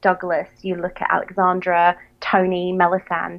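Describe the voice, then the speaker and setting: A woman at a fairly slow pace in a Southern English accent. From southern England. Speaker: podcast co-host. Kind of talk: casual chat.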